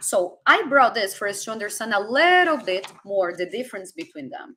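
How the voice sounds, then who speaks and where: A woman's raised, projected voice with a bright, sharp tone, very wide pitch swings and a moderate pace. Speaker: spiritual coach. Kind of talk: live stream talk.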